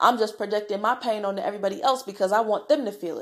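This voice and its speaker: A woman talks at a very fast pace in an animated tone. The recording is very clean, with a silent background. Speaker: podcast host. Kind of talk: casual monologue; guided mindfulness.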